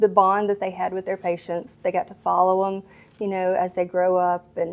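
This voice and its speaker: A woman is speaking. She has a strong Mississippi accent. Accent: thick Mississippi. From Mississippi, small town. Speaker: pediatrician. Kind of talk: interview. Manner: hesitant, many fillers.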